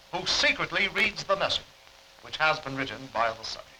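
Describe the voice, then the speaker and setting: Noticeable background noise is present. A man speaks over it at a fairly quick pace. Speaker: mentalist. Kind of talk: newsreel explanation.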